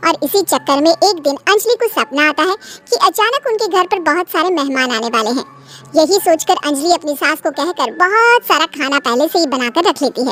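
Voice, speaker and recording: A woman's cartoonish character voice, extremely high and swinging very widely in pitch, at a fairly quick pace, dry and close with no echo, over background music. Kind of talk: bedtime story narration. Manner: calm, even.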